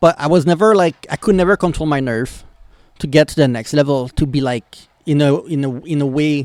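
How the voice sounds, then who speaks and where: A man speaks in a Quebec accent at a fairly high pitch and a moderate pace, with ordinary pitch variation. The sound is dry and close, with no echo. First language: French. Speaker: YouTube reactor. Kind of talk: reaction video commentary. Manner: halting.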